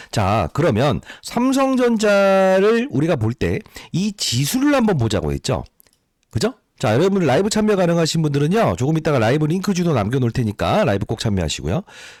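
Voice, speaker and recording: A man with a fairly high pitch talks at a fairly quick pace, with very wide pitch swings and very even loudness. The recording is very clean with a silent background and a dry, close sound with no echo. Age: 60s. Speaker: stock market YouTuber, former fund manager. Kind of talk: market analysis monologue. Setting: at a microphone.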